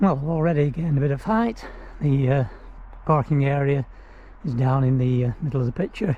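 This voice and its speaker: With noticeable background noise behind him, a man with a fairly high pitch and ordinary pitch variation talks at a fairly quick pace broken by long, frequent pauses. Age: 70s. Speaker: hiking vlogger. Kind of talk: casual vlog narration. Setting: outdoors. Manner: hesitant, many fillers.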